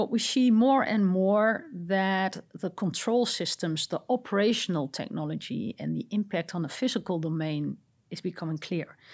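Speaking with a Dutch accent and lively intonation, a woman talks with hardly any pauses in a very clean recording with a silent background. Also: medium pitch for a woman, moderate pace. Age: 40s. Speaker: cybersecurity director. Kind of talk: interview. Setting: studio.

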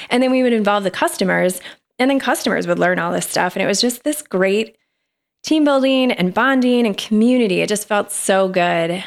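A woman with a plain, everyday voice speaks at a medium pitch and a fairly quick pace. Her loudness stays very even, in a very clean recording with a silent background. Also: lively intonation. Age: 40s. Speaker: guest, former store manager. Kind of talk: casual interview chat.

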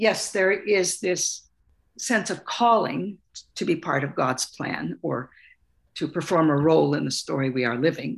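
With an American accent, a woman speaks at a fairly slow pace in a fairly low voice marked by vocal fry and very wide pitch swings. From US Pacific Northwest, Salish Sea island. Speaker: author and artist. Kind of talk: interview.

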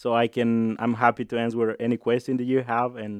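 Against a quiet background, a man with a Mexican accent and medium pitch speaks at a moderate pace. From Jalisco, Mexico. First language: Spanish. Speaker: restaurant owner. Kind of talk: interview. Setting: studio.

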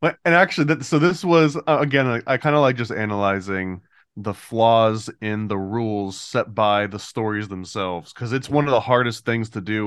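A plain, everyday voice from a man, fairly low in pitch, with ordinary pitch variation, a moderate pace and a quiet background. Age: 40s. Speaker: comic book creator. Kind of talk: casual chat. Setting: video call.

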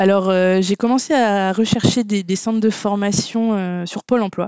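Speaking in a normal speaking voice, a woman keeps a medium pitch, a moderate pace and fairly even intonation. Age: 30s. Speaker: web developer, former archaeologist. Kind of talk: casual interview.

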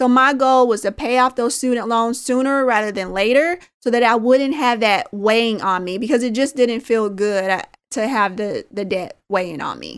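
A woman with an American accent speaks at a moderate pace in an unremarkable speaking voice, fairly high in pitch with ordinary pitch variation. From US Midwest, Indianapolis, Indiana. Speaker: early retiree and personal finance author. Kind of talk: interview.

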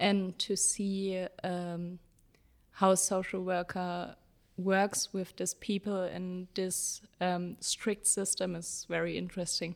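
On a very clean recording with a silent background, a woman speaks very slowly at a medium pitch with monotone, flat intonation. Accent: German. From Germany (Jena, Thuringia). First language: German. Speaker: social work student. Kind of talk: conversational interview. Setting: studio.

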